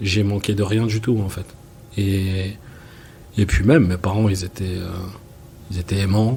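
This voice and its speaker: A man at a fairly low pitch and a fairly slow pace, with fairly even intonation, long, frequent pauses, and noticeable background noise. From France, Seine-Saint-Denis (Paris suburbs). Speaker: film and music video director. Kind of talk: interview. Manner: hesitant, many fillers.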